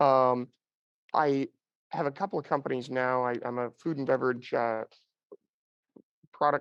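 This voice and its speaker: A man with a normal speaking voice at medium pitch, moderate pace and fairly even intonation. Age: 30s. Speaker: panelist, food and beverage consultant. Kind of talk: panel discussion. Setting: remote call from airport baggage claim. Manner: many fillers.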